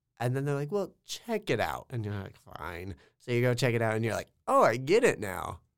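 With an American accent and lively intonation, a man of medium pitch speaks at a moderate pace on a very clean recording with a silent background. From rural Kansas. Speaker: college student and aspiring actor. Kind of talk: casual chat.

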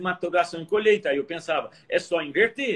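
The background is quiet as a high-pitched man speaks at a moderate pace. His pitch swings very widely. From Minas Gerais interior, Varginha. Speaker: agronomist researcher. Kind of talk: casual interview.

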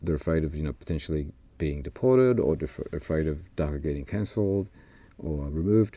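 With an Australian accent, a man speaks at a fairly quick pace in a very deep, low pitch. His tone is dark and mellow, and his intonation lively. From Peru, raised in Australia. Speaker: university administrator. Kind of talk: casual chat.

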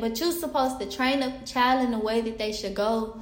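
A woman's fairly high voice with fairly even intonation, audible room echo and noticeable background noise. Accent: Southern US. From US South, Pine Bluff, Arkansas. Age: 20s. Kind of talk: casual faith testimony monologue. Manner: halting, many fillers and restarts.

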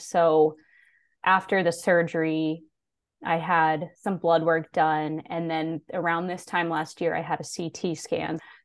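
This woman speaks at a fairly low pitch. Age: 20s. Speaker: thyroid cancer survivor and advocate. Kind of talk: interview, personal story.

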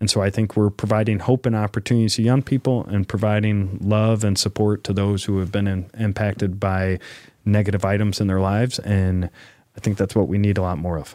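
A man's fairly low, dark and mellow voice, fairly quick with hardly any pauses and fairly even intonation, dry and close with no echo, on a very clean recording with a silent background. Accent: Midwestern American. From northern Illinois (Rockford). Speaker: city mayor. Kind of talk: interview.

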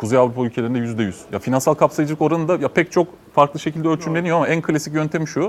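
Amid noticeable background noise, a man talks at a very fast pace with hardly any pauses, in a fairly high voice with ordinary pitch variation. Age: 40s. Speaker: entrepreneur. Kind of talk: panel discussion.

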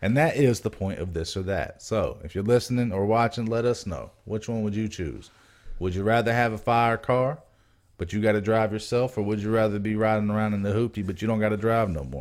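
This man has an unremarkable speaking voice, fairly low in pitch with ordinary variation, at a fairly quick pace. The recording is very clean with a silent background. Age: 20s. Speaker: podcast co-host. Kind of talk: casual chat.

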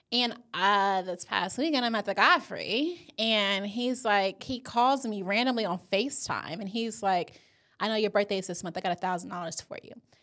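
A woman at a medium pitch, bright and sharp in tone and animated, at a moderate pace with hardly any pauses, big swings in loudness and ordinary pitch variation, on a very clean recording with a silent background. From US South. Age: 20s. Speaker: podcast co-host. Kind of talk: casual chat.

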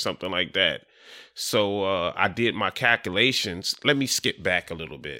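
On a very clean recording with a silent background, a man with an American accent speaks in a fairly low voice with a bright, sharp tone, the sound dry and close with no echo. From Delaware (Dover), US. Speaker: real estate wholesaler, former prisoner. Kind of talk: casual interview. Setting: studio with cameras.

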